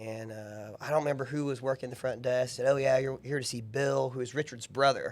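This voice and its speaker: Fairly quick in pace, a man speaks at a medium pitch. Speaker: barbecue restaurant owner. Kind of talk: casual chat. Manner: fast.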